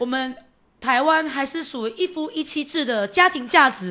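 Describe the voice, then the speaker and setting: A woman's bright, sharp, raised and projected voice with lively intonation, on a very clean recording with a silent background. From Taiwan, Yunlin County. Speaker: county councillor. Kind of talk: casual interview chat. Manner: fast; loud.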